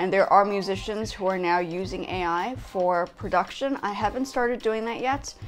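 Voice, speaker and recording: Moderate pace and ordinary pitch variation over faint background music. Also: woman. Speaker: vlogger. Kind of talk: casual vlog chat. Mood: complaining, opinionated. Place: home room.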